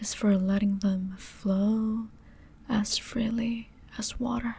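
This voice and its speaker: A soft-spoken woman with a gentle, dark and mellow tone talks in a fairly high, somewhat breathy voice with flat, monotone intonation. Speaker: ASMR creator. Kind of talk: comfort roleplay ASMR, sleep aid. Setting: close-mic headphone ASMR. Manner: soft, gentle, slow.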